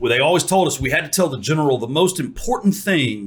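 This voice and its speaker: A somewhat breathy male voice at a fairly quick pace, with lively intonation. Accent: American. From Texas. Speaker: podcast host. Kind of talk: interview; scripted intro.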